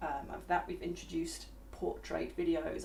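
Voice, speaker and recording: A woman speaks quietly amid noticeable background noise. Room echo is audible. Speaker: VR software developer. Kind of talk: live stream chat. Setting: online live stream. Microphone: far from the mic.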